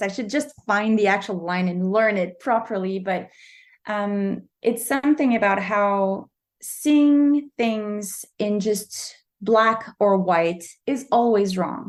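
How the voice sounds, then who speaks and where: Speaking at a very slow pace, a woman has a medium pitch and a Quebec French accent. Her pitch varies in an ordinary way over a quiet background. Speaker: novelist. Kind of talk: interview. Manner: halting.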